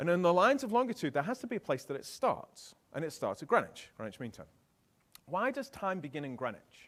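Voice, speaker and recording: A man with a British accent talks at a fairly quick pace in a high voice, his pitch swinging very widely and his loudness rising and falling a lot. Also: very clean recording, silent background. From England. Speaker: keynote speaker. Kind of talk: keynote talk. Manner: animated.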